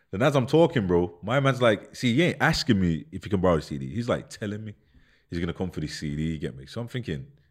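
Very deep and low, a man's voice races at a very fast pace through very wide pitch swings, captured in a very clean recording with a silent background. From Birmingham, England (Handsworth). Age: 30s. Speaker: former gangster. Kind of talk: casual chat.

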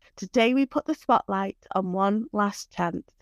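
The sound is dry and close with no echo as a woman speaks in a plain, everyday voice. She is fairly high-pitched, moves at a moderate pace and shows ordinary pitch variation. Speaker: podcast co-host. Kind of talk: casual chat.

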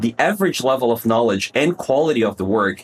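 Fairly quick speech in a Portuguese accent with ordinary pitch variation. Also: man. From Brazil. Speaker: conversion optimization consultant. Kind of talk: casual interview.

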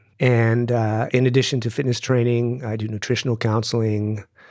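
A man speaks in a plain, everyday voice at medium pitch with fairly even intonation. The pace is moderate, in a very clean recording with a silent background. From US Southwest, Tucson, Arizona. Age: 50s. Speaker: fitness trainer and healer. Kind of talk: interview.

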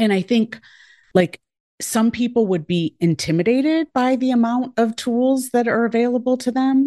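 The voice has a dark, mellow tone and lively intonation, recorded dry and close with no echo against a quiet background. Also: woman. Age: 40s. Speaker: former pediatrician and life coach. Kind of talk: casual podcast interview. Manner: warm, funny, animated.

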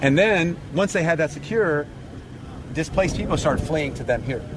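This man's fairly high voice comes through noticeable background noise. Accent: American. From US. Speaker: relief worker, former army officer. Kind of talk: field interview. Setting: outdoors.

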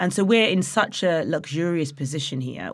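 The speaker has a slight East Midlands accent. The pace is moderate. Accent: Nottingham East Midlands English, slight. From Nottingham, England. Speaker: head brewer and author. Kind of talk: casual interview chat.

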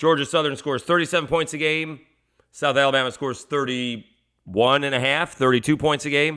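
A man's fairly high-pitched, ordinary speaking voice at a fairly quick pace, with fairly even intonation. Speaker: sports radio host. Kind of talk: sports preview podcast monologue. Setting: media days event for interview.

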